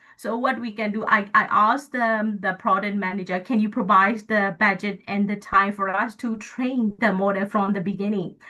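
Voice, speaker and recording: A woman in a Burmese accent talks at a medium pitch and a moderate pace, monotone and flat, with hardly any pauses. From Myanmar. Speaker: guest lecturer, AI engineer. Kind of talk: lecture. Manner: halting.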